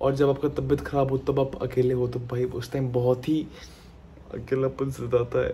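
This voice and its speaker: A man's somewhat breathy, dark, mellow voice at a moderate pace, over light background noise. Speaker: vlogger. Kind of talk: casual vlog chat. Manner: weary, sickly, self-pitying voice. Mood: lonely, unwell, self-pitying. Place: home room. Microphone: phone near.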